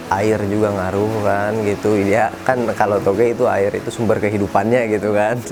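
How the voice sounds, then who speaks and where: With noticeable background noise and audible room echo, a man speaks at a moderate pace in a fairly low pitch. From Sukabumi, West Java, Indonesia. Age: 20s. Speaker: small business owner. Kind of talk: interview. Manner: casual, hesitant with fillers.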